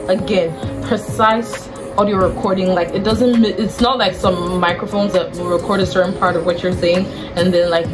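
Clear music in the background behind a woman at a moderate pace. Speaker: product reviewer. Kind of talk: casual review chat. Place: home room. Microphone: lapel.

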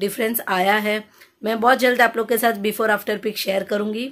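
The background is quiet. A woman talks with fairly even intonation. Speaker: weight loss vlogger. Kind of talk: casual vlog chat, answering viewer questions. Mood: cheerful, friendly. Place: home room. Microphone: phone near.

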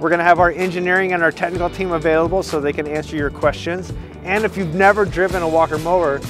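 Flat, monotone speech rushes by at a very fast pace. Clear music plays in the background, and the sound is dry with no echo. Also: man, high pitch for a man. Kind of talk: scripted promotional chat. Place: open country.

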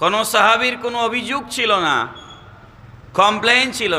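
A man speaks in a raised, projected voice. The room has audible echo, and there is noticeable background noise. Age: 40s. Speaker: Islamic preacher. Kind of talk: sermon. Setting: outdoor religious gathering over PA system. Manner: loud.

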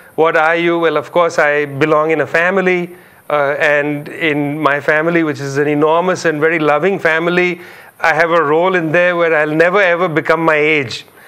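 Against a quiet background, a man speaks at a moderate pace and a fairly high pitch, with a bright, sharp tone, monotone, flat intonation and very even loudness. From India, Calcutta. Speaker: public intellectual, author. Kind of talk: interview. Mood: reflective, engaged. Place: studio. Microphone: lapel.

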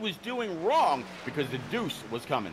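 A man at a high pitch and moderate pace, with noticeable background noise. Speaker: race commentator.

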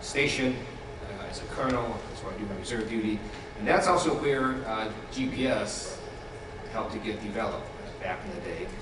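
Over noticeable background noise and audible room echo, a man talks at a fairly quick pace with ordinary pitch variation. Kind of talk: public speech. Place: hall.

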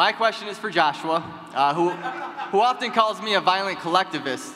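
A man speaks at a moderate pace with a high pitch. Light background noise runs underneath. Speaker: party chair candidate; candidate. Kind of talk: debate speech. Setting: stage with audience. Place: hall. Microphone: podium.

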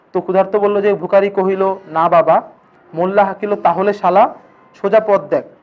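With faint music in the background, a man speaks at a high pitch with fairly even intonation. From Bangladesh. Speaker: teacher. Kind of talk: lecture. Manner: casual, conversational.

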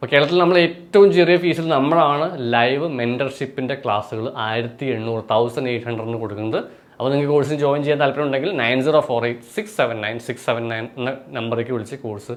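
A man talks at a medium pitch in a normal speaking voice. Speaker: exam coaching tutor. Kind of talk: tutorial; sales pitch.

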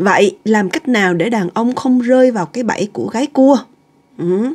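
Her speech comes at a very slow pace. This woman's voice sits fairly high in pitch, with lively intonation. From Vietnam. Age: 50s. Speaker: podcast host. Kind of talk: casual podcast chat, partly reading an article. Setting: at home. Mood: relaxed, chatty. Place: home room. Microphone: webcam.

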